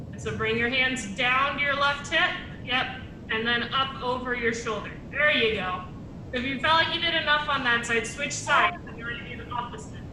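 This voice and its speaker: At a moderate pace, a woman with a high pitch and ordinary pitch variation speaks with big swings in loudness, with audible room echo and noticeable background noise. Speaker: exercise class instructor. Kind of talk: guided exercise class. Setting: video call.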